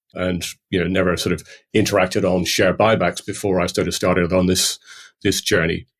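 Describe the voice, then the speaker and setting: Speaking at a fairly quick pace, a man delivers his words in a monotone, flat intonation with a very deep, low pitch. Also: very clean recording, silent background. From Ireland, County Cork. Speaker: finance industry veteran, company founder. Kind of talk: podcast interview. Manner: hesitant, many fillers.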